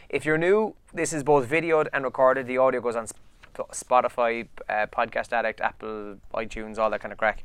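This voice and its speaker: A man with an Irish accent speaks at a medium pitch and a fairly quick pace. He barely pauses, and his pitch varies in an ordinary way. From Ireland. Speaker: podcast co-host. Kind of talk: casual chat. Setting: office studio, video recorded.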